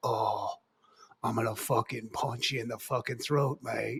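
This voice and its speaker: A man puts on a raspy character voice with an English accent. He keeps a medium pitch and a moderate pace. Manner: threatening.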